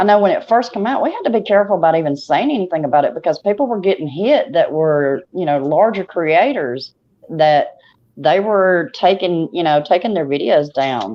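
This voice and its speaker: A woman with a Southern US accent, a fairly low pitch, very wide pitch swings and a fairly quick pace. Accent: Southern twang. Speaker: YouTube talk show host. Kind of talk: casual chat.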